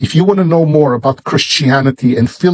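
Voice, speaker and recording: Somewhat breathy, a man speaks with an Israeli accent and ordinary pitch variation. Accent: Israeli Hebrew. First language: Hebrew. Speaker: Bible publisher. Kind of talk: sales pitch. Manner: slow.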